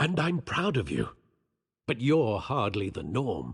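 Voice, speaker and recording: A man's put-on character voice, raspy yet gentle in tone, medium in pitch, at a fairly slow pace with very wide pitch swings. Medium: video game. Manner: formal, gentle, measured.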